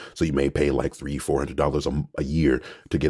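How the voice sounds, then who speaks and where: A man's voice with vocal fry. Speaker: voice actor. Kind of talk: casual tutorial vlog. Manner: casual, with fillers.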